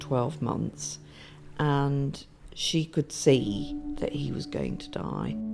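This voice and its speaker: A soft-spoken woman talks at a very slow pace. Music plays in the background. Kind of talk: documentary interview answer.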